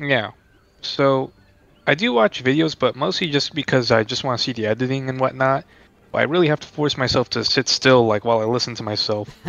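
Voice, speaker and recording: A man speaks with a plain, everyday voice at a medium pitch. His pace is fairly quick, with ordinary pitch variation. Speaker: gamer. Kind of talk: casual chat.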